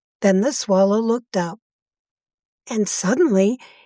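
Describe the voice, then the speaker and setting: The recording is very clean, with a silent background. The speaker is soft-spoken. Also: woman. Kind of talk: fairy tale reading. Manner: slow, clear, soft-spoken.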